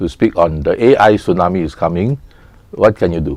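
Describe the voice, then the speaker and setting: The man's voice carries a dark, mellow tone. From Singapore. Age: 70s. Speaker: economist and commentator. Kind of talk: TV interview.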